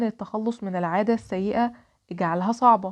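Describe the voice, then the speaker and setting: Against a quiet background, a woman with an Egyptian accent speaks at a fairly high pitch with ordinary pitch variation. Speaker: podcast host. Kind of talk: solo podcast monologue.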